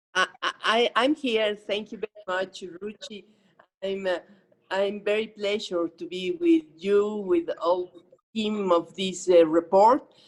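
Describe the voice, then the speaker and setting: In a Spanish accent, a woman speaks at a medium pitch and a very slow pace. Her intonation is lively. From Mexico. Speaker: government official. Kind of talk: unprepared panel remarks. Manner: halting.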